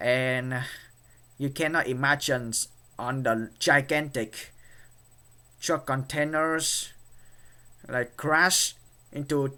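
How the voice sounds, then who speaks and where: Very slowly, a man with a Vietnamese accent speaks in a fairly high, bright, sharp voice with fairly even intonation. The recording is very clean, with a silent background. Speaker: YouTuber. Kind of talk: vlog commentary. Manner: halting, many fillers.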